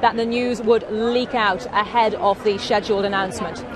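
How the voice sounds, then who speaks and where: Woman at a moderate pace and fairly high pitch, crowd noise in the background. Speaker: news presenter reporting live outside the hospital. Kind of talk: live news reporting.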